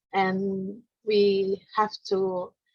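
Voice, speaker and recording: A woman at medium pitch with an Indonesian accent, in a dry, close recording with no echo. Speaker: non-profit organization founder and presenter. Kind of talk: conference presentation. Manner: halting, many fillers.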